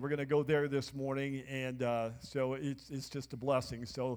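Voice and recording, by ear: At a moderate pace, a man speaks at medium pitch with a slightly mellow tone and little pitch movement.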